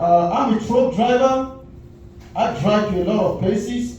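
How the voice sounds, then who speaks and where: A man with an African accent speaks at a high pitch with ordinary pitch variation. Noticeable background noise and audible room echo are present. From Cameroon. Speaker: comedian. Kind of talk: stand-up. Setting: comedy club stage with audience. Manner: halting.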